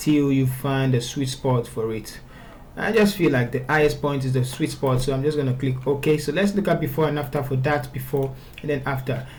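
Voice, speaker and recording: Audible room echo surrounds a man talking at a moderate pace with a fairly high pitch and ordinary pitch variation. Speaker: photo retouching tutor. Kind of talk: software tutorial. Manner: stuttering at times; casual, conversational.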